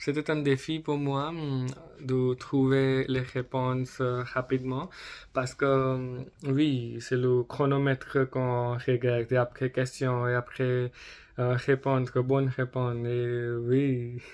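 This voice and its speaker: At a very slow pace, a man speaks at medium pitch with monotone, flat intonation. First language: not French, learner (speaking French). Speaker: French learner vlogger. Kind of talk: personal vlog monologue. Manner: halting, many fillers.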